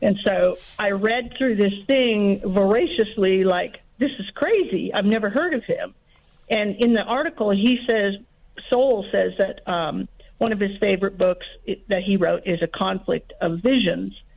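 Using a normal speaking voice, a woman of medium pitch speaks at a fairly slow pace with ordinary pitch variation. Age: 50s. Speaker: caller. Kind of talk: call-in question. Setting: phone call.

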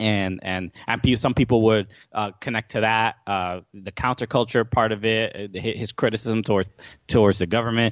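Speaking in a New York accent, a man keeps a monotone, flat intonation. His pitch is fairly low and his pace moderate. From New York, Brooklyn. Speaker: comedian and podcast host. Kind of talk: casual chat. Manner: halting, many fillers and repeats.

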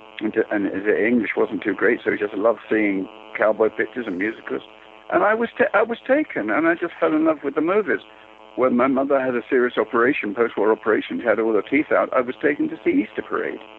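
A man rushes along at a very fast pace while background noise is noticeable. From East End of London. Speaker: film editor. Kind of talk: interview. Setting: phone call.

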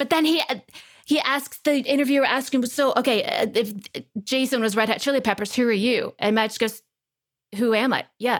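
A woman talks fairly quickly in a high voice with a slight Texas accent. Her loudness stays very even, and her pitch varies in an ordinary way. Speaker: actress and podcast co-host. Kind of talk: casual chat.

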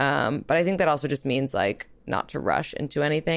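Speaking at a moderate pace with an American accent, a woman uses a very deep, low pitch, vocal fry and ordinary pitch variation. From New York. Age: 20s. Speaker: relationship podcast host. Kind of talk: casual interview.

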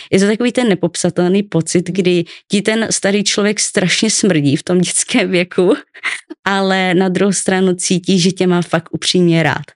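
A woman with a plain, everyday voice speaks at a medium pitch and fairly slow pace, keeping fairly even intonation and very even loudness. The sound is dry and close, with no echo. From Czechia, Ostrava. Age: 20s. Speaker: guest sharing childhood trauma. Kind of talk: personal testimony interview. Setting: studio.

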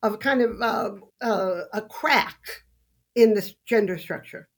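At a fairly slow pace, a woman with an American accent has a plain, everyday voice, a fairly high pitch and ordinary pitch variation. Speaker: sociology professor and author. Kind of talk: debate.

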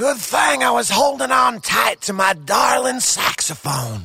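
Using a put-on character voice, a man speaks raspy and high-pitched at a fairly slow pace, with very wide pitch swings. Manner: easygoing, warm, hip jazz-cat slang.

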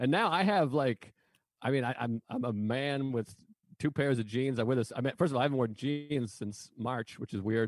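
A man with an American accent speaks in an ordinary speaking voice at a moderate pace. His pitch is medium, with ordinary pitch variation. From Massachusetts. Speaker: comedian. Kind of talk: casual chat.

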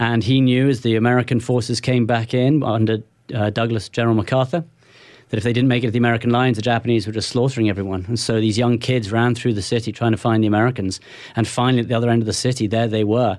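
Speaking at a very fast pace, a man keeps a medium pitch and monotone, flat intonation. His loudness stays very even on a very clean recording with a silent background. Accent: British. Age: 40s. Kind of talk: interview. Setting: studio.

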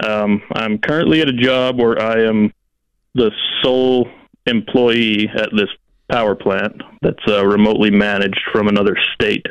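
A man speaks at a moderate pace in a normal speaking voice, his pitch fairly low. His loudness stays very even, and his intonation is fairly even. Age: 20s. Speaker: power plant worker. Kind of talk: call-in coaching conversation.

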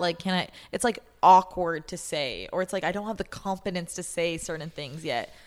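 On a very clean recording with a silent background, a woman with a fairly low pitch talks at a fairly quick pace in an ordinary speaking voice. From Canada. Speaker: podcast host. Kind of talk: casual chat.

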